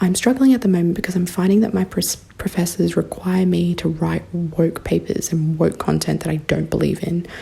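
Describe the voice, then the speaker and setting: A woman with an Australian accent at a fairly quick pace, hardly any pauses, and noticeable background noise behind her. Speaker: university student, listener. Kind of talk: recorded listener question.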